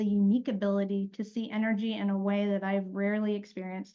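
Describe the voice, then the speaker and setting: Speaking at a fairly quick pace, a woman has a fairly high pitch and a dark, mellow tone. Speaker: podcast host. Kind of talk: podcast interview host. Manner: enthusiastic.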